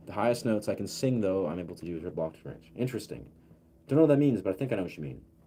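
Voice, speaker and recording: Very deep and low in pitch, a man's dark, mellow voice carries lively intonation. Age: 30s. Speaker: livestreamer and musician. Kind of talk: casual live stream chat. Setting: live stream on camera.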